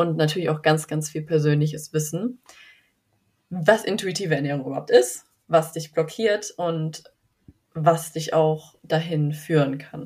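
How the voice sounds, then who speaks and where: A somewhat breathy voice at a fairly slow pace, with big swings in loudness and long, frequent pauses. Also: woman, very deep, low pitch for a woman, ordinary pitch variation. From western Germany (North Rhine-Westphalia). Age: 20s. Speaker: eating disorder recovery coach. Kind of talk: interview. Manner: calm, soothing.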